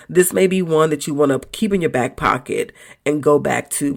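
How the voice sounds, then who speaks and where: This woman's pitch is very deep and low, with vocal fry. She talks at a fairly quick pace with lively intonation. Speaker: podcast host. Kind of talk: motivational monologue. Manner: casual, conversational.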